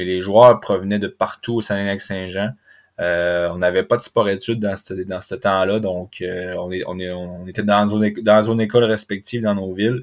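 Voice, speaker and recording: Monotone, flat intonation at a fairly slow pace, in a very clean recording with a silent background. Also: man, fairly low pitch for a man. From Quebec, Saguenay (Chicoutimi). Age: 30s. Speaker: professional hockey player. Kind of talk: interview.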